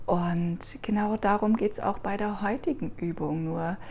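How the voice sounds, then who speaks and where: Somewhat breathy, a woman speaks at a very slow pace in a soothing, warm tone that is dark and mellow. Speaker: meditation guide. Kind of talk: guided meditation. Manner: slow, soft, soothing, warm and gentle.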